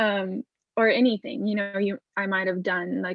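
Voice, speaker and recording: A woman with a Lithuanian accent talks at medium pitch with ordinary pitch variation. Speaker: visual artist. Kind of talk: interview.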